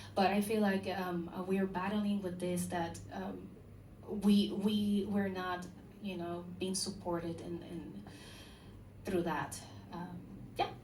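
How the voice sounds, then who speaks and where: Speaking with a Spanish accent, a woman uses a medium pitch and monotone, flat intonation. She talks at a very slow pace with long, frequent pauses, and room echo is audible. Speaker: musician. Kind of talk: panel discussion. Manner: halting.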